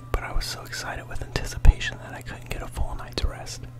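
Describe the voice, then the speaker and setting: Whispering comes at a fairly quick pace over noticeable background noise. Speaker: ASMR storyteller. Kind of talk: read story.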